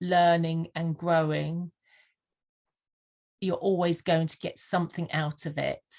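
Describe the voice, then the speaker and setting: Against a quiet background, a woman with a slight Sussex accent speaks at a fairly low pitch. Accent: slight Sussex twang. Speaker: vision board mentor. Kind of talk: interview. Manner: halting, many fillers.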